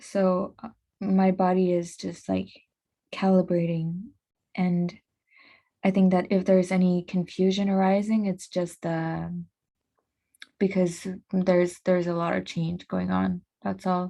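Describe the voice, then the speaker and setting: On a very clean recording with a silent background, a woman with a non-native accent speaks at a fairly slow pace and medium pitch in a dark, mellow, monotone voice with flat intonation and long, frequent pauses. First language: not English. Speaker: podcast host. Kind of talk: casual monologue. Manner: halting.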